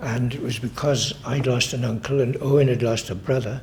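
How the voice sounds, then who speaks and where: A man with a Welsh accent speaks at a medium pitch with fairly even intonation. Noticeable background noise sits behind him. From Carmarthenshire, Wales. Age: 90s. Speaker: oral history interviewee. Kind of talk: oral history interview.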